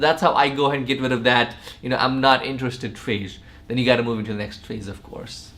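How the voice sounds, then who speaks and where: Amid audible room echo and noticeable background noise, a man talks at a very fast pace while his loudness swings widely. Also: medium pitch for a man. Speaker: sales trainer. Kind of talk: tutorial. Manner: animated.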